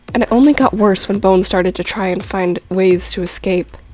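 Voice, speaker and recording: Over music in the background, a woman speaks at a moderate pace and a medium pitch. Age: young. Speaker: amateur animator. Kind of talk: story explanation talk to viewers.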